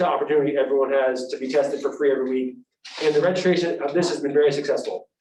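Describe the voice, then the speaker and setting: This voice moves at a very fast pace. Its pitch varies in an ordinary way. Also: man. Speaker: school superintendent. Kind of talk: public meeting presentation. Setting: school committee meeting. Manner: halting.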